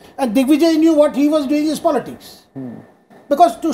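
In an Indian accent, a man talks at a fairly quick pace with an extremely high pitch, a dark, mellow tone and fairly even intonation. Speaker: journalist; panel guest journalist. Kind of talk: TV panel debate. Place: studio.

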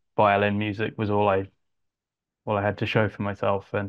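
At a moderate pace, a man speaks with a fairly low pitch in a monotone, flat intonation. The background is quiet. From England (Yorkshire, then Suffolk); England. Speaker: composer and arranger; interviewee. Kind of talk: interview. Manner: halting, many fillers. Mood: relaxed, friendly. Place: home room. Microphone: earbuds.

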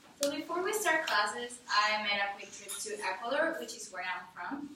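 A woman with a fairly high pitch is heard with audible room echo and noticeable background noise. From Ecuador (Guayaquil). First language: Spanish. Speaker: college student. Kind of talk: class speech. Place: classroom. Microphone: camera far.

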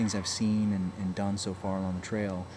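With noticeable background noise behind him, a man speaks at a moderate pace in a fairly low pitch and a monotone, flat intonation. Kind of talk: casual vlog chat. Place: home room. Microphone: webcam.

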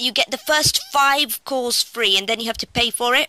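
Recorded dry with no echo against a quiet background, a woman talks in a bright, sharp tone at a moderate pace with ordinary pitch variation. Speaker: app reviewer. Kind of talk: casual vlog chat. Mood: enthusiastic. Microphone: phone near.

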